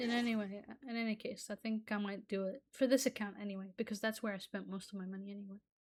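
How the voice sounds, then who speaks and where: Speaking in an Arabic accent, a woman talks at a very fast pace in a medium pitch. Her tone is animated. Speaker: gaming YouTuber. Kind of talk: gameplay commentary rant. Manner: animated, stammering.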